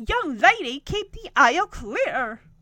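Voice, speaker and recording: This is a put-on character voice at a fairly slow pace. Its pitch swings very widely. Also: woman, extremely high pitch for a woman. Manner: stern, rule-enforcing.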